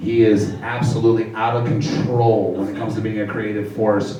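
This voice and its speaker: Audible room echo and noticeable background noise surround a man speaking at a fairly low pitch with ordinary pitch variation. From Venezuela. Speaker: stand-up comedian and show host. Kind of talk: stand-up. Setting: stage with audience. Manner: animated.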